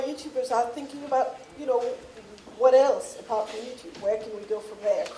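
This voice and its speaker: A woman with a French accent talks at a very fast pace with lively intonation. Room echo is audible. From France, Paris. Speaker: media company executive. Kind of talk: conference talk. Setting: stage with audience. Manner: self-correcting, halting.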